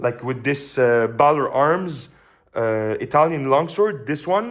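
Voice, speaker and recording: This is a man speaking. He has a Quebec accent. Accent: French Canadian accent in English. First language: French. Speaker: sword reviewer. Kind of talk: product review. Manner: hesitant, many fillers.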